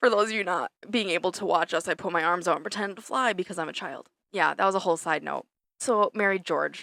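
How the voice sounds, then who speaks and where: A woman speaks very fast at a medium pitch, with a bright, sharp tone, vocal fry, and ordinary pitch variation. The recording is very clean, dry, and close, with a silent background and no echo. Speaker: podcast co-host. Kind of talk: casual chat. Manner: halting, stumbling over words.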